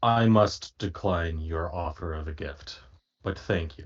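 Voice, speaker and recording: In a put-on character voice, a man speaks at a moderate pace with a very deep, low pitch. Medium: actual play. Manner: formal, measured.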